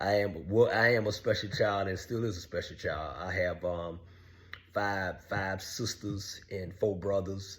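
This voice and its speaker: Somewhat breathy, fairly even speech at a fairly slow pace, with audible room echo. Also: man, fairly low pitch for a man. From US South, Savannah, Georgia. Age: 60s. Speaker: online show host telling his life story. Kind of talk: personal monologue. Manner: halting with frequent fillers.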